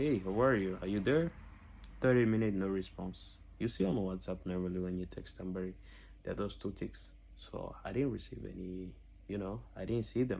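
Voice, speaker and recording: Speaking at a moderate pace with long, frequent pauses, a man with a non-native accent uses a fairly low pitch and ordinary pitch variation. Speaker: scam victim. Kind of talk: testimony. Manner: halting.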